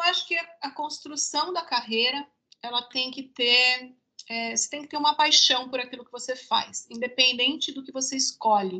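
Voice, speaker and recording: A raised, projected voice with a bright, sharp tone moves at a moderate pace, showing ordinary pitch variation and big swings in loudness. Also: woman, high pitch for a woman. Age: 50s. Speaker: marketing manager. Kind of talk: casual chat.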